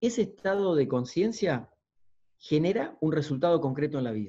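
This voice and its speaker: With an Argentine accent, a man speaks at a moderate pace in a dark, mellow tone with a fairly high pitch. His voice makes very wide pitch swings over a quiet background. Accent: Argentine (Rioplatense) Spanish. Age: 50s. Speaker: motivational speaker and coach; coach giving a talk. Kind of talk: lecture. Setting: video call. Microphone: video call.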